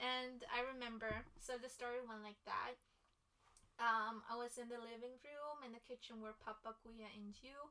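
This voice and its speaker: A woman speaks in a high, flat monotone at a moderate pace. Her loudness swings widely, and background noise is noticeable. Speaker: sister guest. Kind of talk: casual chat.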